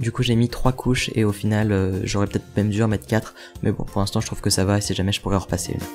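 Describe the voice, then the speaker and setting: A man's fairly low voice at a very fast pace, fairly even in intonation, with music in the background. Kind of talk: DIY tutorial voice-over. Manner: whispered, quiet.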